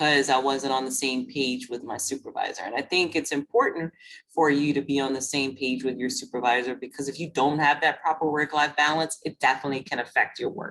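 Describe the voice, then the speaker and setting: With a Louisiana accent, a woman with a very deep, low voice talks at a fairly quick pace with fairly even intonation and hardly any pauses. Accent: Lafayette Louisiana. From Louisiana, Lafayette. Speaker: webinar host. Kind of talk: webinar discussion.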